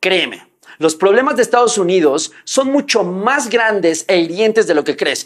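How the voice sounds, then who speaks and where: Over a quiet background, a man speaks. His pace is fairly slow. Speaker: online commentator. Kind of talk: commentary. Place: home room.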